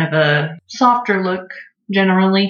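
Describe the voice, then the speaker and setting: There is audible echo in the room. A woman talks with an American accent. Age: 20s. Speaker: painter. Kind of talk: casual chat.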